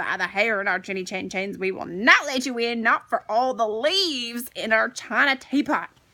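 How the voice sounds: Putting on a squeaky character voice, a woman speaks at a moderate pace and fairly high pitch, with hardly any pauses.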